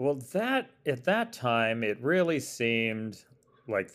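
Speaking very slowly, a man with an American accent uses lively intonation. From Arizona. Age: 40s. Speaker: TV comedy writer. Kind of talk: casual chat.

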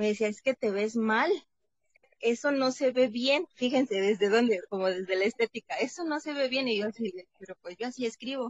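A woman's fairly high voice, lively in intonation, at a fairly slow pace. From Mexico, Veracruz. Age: 30s. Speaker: psychologist and theologian. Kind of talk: interview.

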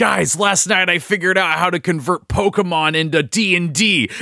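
In a very clean recording with a silent background, a man puts on a high-pitched character voice at a moderate pace with very even loudness. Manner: excited, geeky.

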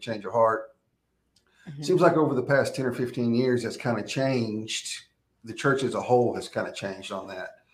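With an American accent, a man talks at a very fast pace and a medium pitch. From Texas. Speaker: former prisoner turned prison minister. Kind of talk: testimony.

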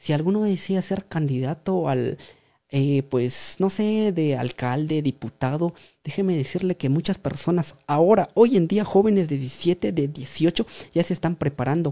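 A man with a dark, mellow tone is heard on a very clean recording with a silent background. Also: fairly high pitch for a man, ordinary pitch variation, fairly slow pace, dry, close sound with no echo. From Guatemala, rural village. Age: 30s. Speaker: writer and speaker. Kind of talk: interview. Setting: studio.

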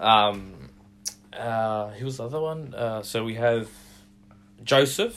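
A man with an Australian accent, medium in pitch, at a very slow pace with long, frequent pauses. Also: ordinary pitch variation. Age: 20s. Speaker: church musician. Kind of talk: testimony. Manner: halting.

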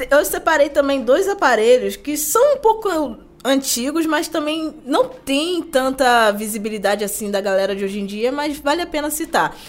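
Against noticeable background noise, a woman speaks at a moderate pace in a high voice with very wide pitch swings. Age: 20s. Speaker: tech content creator and product analyst. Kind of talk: casual chat.

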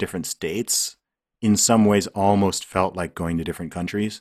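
Speaking at a moderate pace, a man with a fairly low pitch comes through in a very clean recording with a silent background. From England and Saudi Arabia. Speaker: rapper and podcaster. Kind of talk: casual interview.

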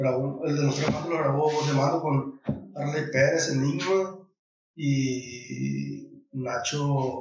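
In audible room echo, a man with a fairly high pitch speaks very slowly in fairly even intonation. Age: 30s. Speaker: singer-songwriter. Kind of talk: casual interview.

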